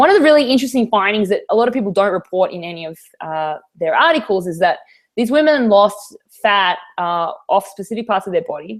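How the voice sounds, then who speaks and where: A woman with an American accent speaks at a fairly quick pace and a medium pitch. Her intonation is lively, with big swings in loudness. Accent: Australian, slight New York tinge. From Australia. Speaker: fitness trainer. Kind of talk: interview. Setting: video call.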